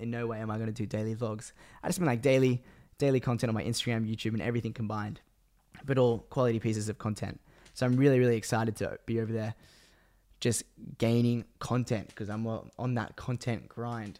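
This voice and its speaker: A man with an Australian accent talks at a very fast pace and a medium pitch. His tone is dark and mellow, with fairly even intonation. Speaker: podcast host and videographer. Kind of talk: casual solo monologue. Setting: home room.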